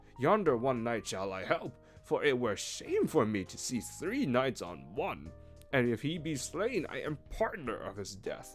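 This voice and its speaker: A man's put-on character voice at a medium pitch and moderate pace, with big swings in loudness and clear music in the background. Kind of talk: archaic storybook reading. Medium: virtual streamer. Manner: formal, archaic speech.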